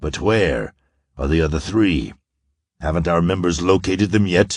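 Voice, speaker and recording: Putting on a character voice, a man speaks in a raspy, very deep, low pitch. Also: moderate pace. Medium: read story. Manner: cold, commanding.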